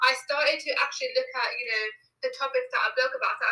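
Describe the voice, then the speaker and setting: A woman with a southern England accent speaks at a fairly quick pace. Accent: British English, southern England. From England, near London. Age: 20s. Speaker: self-care blogger and employment advisor. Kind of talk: casual interview chat.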